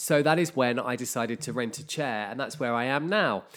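Spoken at a fairly quick pace in a normal speaking voice. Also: man. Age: 40s. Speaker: hairdresser and podcast host. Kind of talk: solo casual monologue. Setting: at home.

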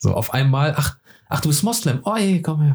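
This man speaks at a moderate pace in a fairly high, somewhat breathy voice, his tone animated and his intonation lively. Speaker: podcast host, film person. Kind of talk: casual chat.

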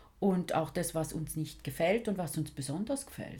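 A woman speaks at a moderate pace in a somewhat breathy voice. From St. Gallen, Switzerland. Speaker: podcast host. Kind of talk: casual chat.

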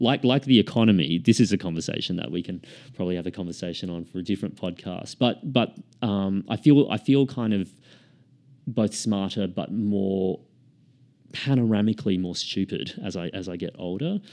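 Over a quiet background, a man with an Australian accent talks fairly quickly in a fairly low, dark, mellow voice, with ordinary pitch variation and big swings in loudness. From Queensland, Australia (Sunshine Coast). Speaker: author and screenwriter. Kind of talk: casual interview chat.

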